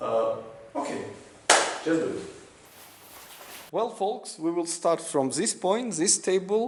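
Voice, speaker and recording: Very slowly, with long, frequent pauses, a man with a non-native accent speaks in a high pitch against noticeable background noise. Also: ordinary pitch variation. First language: not English. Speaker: restoration YouTuber. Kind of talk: show-and-tell video walkthrough. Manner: halting, many fillers.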